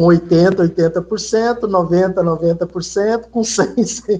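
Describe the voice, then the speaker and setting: Here a man speaks at a high pitch. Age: 60s. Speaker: spiritist study group participant. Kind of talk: group discussion.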